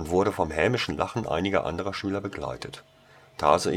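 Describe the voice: Simply plain reading aloud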